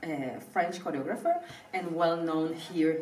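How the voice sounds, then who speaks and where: The voice carries a Spanish accent. Audible room echo and noticeable background noise surround it. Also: woman. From Venezuela (Caracas). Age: 30s. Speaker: professional ballet dancer. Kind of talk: interview. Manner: hesitant, with fillers.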